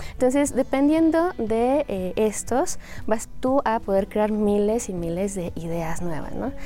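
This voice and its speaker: Amid noticeable background noise, a woman speaks at a very slow pace in a fairly high voice. Her pitch swings very widely. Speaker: Chinese language teacher. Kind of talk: interview explaining language teaching.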